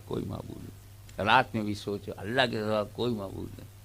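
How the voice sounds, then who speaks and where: A man's normal speaking voice, fairly low in pitch. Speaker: Islamic preacher giving a sermon. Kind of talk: religious sermon to a live audience (jalsa). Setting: public gathering, live jalsa recording.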